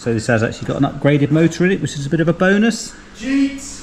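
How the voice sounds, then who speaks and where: With a British accent, a man talks at a very fast pace with lively intonation. There is noticeable background noise. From UK. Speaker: RC hobby youtuber. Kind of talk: casual video presentation. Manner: relaxed, conversational.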